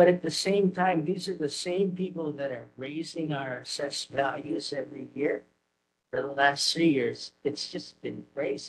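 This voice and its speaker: A man speaks at a fairly high pitch with vocal fry. His pace is moderate and his intonation fairly even. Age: 70s. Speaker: resident giving public testimony. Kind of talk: public comment at community meeting.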